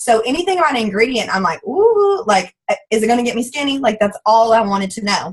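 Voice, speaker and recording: A very fast, fairly high-pitched woman's voice with lively intonation and a strong Southern US accent. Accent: thick Southern twang. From US South. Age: 20s. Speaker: network marketing distributor. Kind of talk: testimony. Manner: animated.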